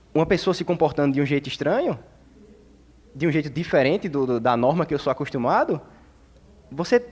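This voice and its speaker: A man with a northeastern Brazilian accent talks at a fairly quick pace. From Brazil, Northeast. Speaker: teacher at a community discussion. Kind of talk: open panel discussion.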